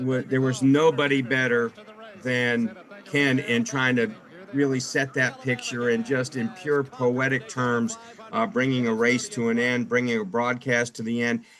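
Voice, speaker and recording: Noticeable background noise accompanies a man of medium pitch who talks at a fairly slow pace with ordinary pitch variation. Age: 60s. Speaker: retiring motorsport radio broadcaster. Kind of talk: interview. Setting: podcast interview. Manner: halting, repeats words.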